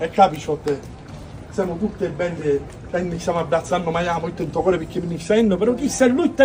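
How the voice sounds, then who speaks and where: In a Sicilian accent, a man speaks at a fairly quick pace with lively intonation over noticeable background noise. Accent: Sicilian (Palermo). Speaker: street performer. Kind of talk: live street theatre monologue. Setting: outdoors.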